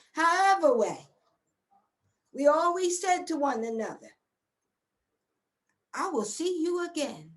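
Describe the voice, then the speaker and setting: Amid audible room echo, a woman talks at a fairly slow pace with long, frequent pauses, using an extremely high pitch and lively intonation. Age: 50s. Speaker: community elder and guest speaker. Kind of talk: inspirational testimony. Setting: livestream broadcast. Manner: impassioned, oratorical.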